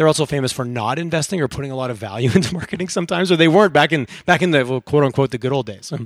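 In an animated tone, a man with a fairly high voice races along at a very fast pace with hardly any pauses and ordinary pitch variation. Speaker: podcast host. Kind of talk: interview. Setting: studio.

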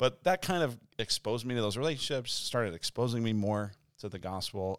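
Speaking at a moderate pace with lively intonation, a man uses a plain, everyday voice with an American accent on a very clean recording with a silent background. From Denver, Colorado. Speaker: church pastor and podcast host. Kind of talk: casual chat.

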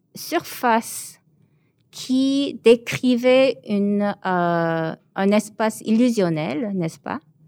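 At a very slow pace, a woman with a Korean accent speaks at a fairly high pitch with lively intonation, in a dry, close sound with no echo. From born in Seoul, raised in Montreal from age 12. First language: Korean (speaking French). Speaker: visual artist. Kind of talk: interview. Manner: hesitant, many fillers.

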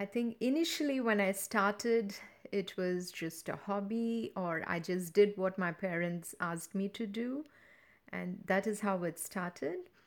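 In an Indian accent, a woman talks at a fairly slow pace with medium pitch and ordinary pitch variation. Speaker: dance teacher. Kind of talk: interview.

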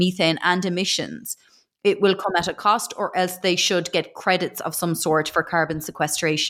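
On a very clean recording with a silent background, a woman with an Irish accent speaks at a moderate pace in a fairly low pitch with monotone, flat intonation. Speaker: agricultural news interviewer. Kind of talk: interview.

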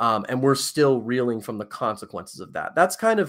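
Speaking at a fairly quick pace, a man with an American accent and medium pitch comes through on a very clean recording with a silent background. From Virginia, US South. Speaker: author. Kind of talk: interview conversation. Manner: halting, with frequent repetitions and fillers.

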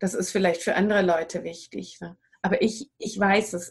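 A woman talks at a moderate pace in a plain, everyday voice, her intonation fairly even. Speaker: wild plant and raw food advisor. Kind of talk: interview. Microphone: poor audio quality.

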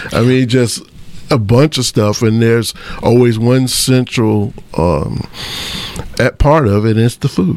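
Noticeable background noise behind a man at a medium pitch, very slow and with long, frequent pauses, very even in loudness, with ordinary pitch variation. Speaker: radio co-host. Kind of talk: radio talk show. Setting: radio studio.

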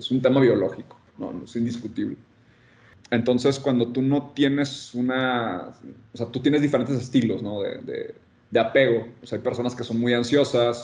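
This man has a normal speaking voice at medium pitch, with fairly even intonation. He talks at a moderate pace. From Mexico, Monterrey. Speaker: design consultant. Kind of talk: casual chat.

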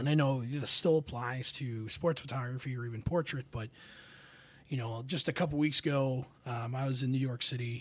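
The pace is moderate, the breathing somewhat audible in the voice, and the intonation fairly even. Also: man, medium pitch for a man. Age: 20s. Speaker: college staff member. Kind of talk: casual chat.

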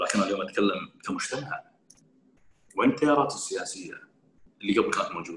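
Long pauses come often, interrupting talk that otherwise moves at a moderate pace. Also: man. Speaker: member of parliament. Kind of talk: casual interview.

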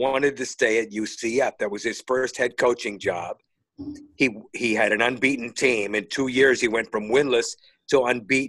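A man's unremarkable speaking voice at medium pitch, at a fairly slow pace with ordinary pitch variation. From northern Indiana, US Midwest. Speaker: retired sports talk radio host. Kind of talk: casual interview chat.

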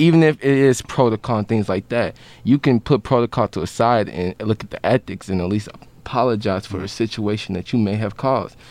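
A man's normal speaking voice, fairly low and fairly quick, with an American accent, ordinary pitch variation, and a dry, close sound with no echo. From Chicago. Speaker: student podcast host. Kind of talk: interview.

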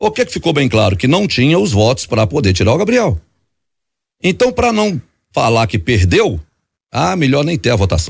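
A man of medium pitch speaks at a moderate pace with vocal fry, very wide pitch swings and long, frequent pauses, in a very clean recording with a silent background. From Belo Horizonte, Brazil. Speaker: city councillor. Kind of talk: radio interview. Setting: radio studio.

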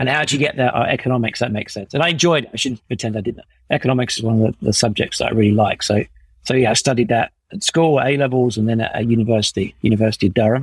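At a very fast pace, a man with a southern English accent talks in a somewhat breathy, medium-pitched voice with ordinary pitch variation, the sound dry and close with no echo. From England, Essex. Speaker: startup co-founder and CEO. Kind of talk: interview conversation.

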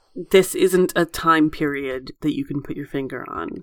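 On a very clean recording with total silence behind it, the speech proceeds at an even tempo. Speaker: podcast host. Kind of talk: casual chat discussing a TV show.

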